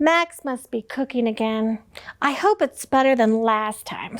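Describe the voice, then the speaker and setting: A woman does a put-on character voice, high in pitch. She speaks at a moderate pace. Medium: read story.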